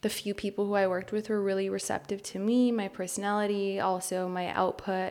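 In a Californian accent, a woman of medium pitch speaks at a fairly quick pace with hardly any pauses and monotone, flat intonation, on a very clean recording with a silent background. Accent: Californian American English. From Los Angeles, US. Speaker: photographer and podcast co-host. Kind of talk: interview, talking about her life.

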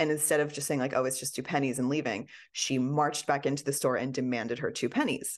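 The speech comes at a very fast pace with fairly even intonation. The background is quiet. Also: woman, very deep, low pitch for a woman. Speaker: author and podcaster. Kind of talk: interview, casual chat.

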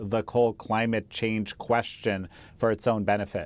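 A man's plain, everyday voice at medium pitch, with fairly even intonation, on a very clean recording with a silent background. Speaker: interviewer. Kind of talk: interview.

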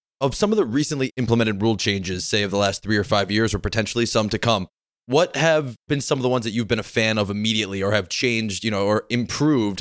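With an American accent, the speaker talks at a very fast pace with ordinary pitch variation and very even loudness. The recording is very clean, with a silent background and a dry, close sound with no echo. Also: man. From Connecticut. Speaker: podcast host. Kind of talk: casual interview.

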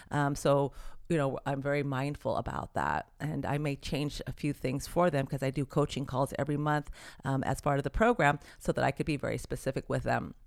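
A woman with a very deep, low pitch and vocal fry talks at a fairly quick pace in a very clean recording with a silent background. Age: 60s. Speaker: certified nutritionist. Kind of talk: interview.

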